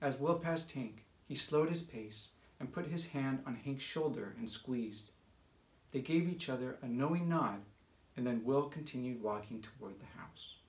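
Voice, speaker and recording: A somewhat breathy man at a moderate pace, with ordinary pitch variation and audible room echo. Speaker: audiobook reader and author. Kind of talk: live audiobook reading of a noir sci-fi novel, narration with character dialogue. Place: home room.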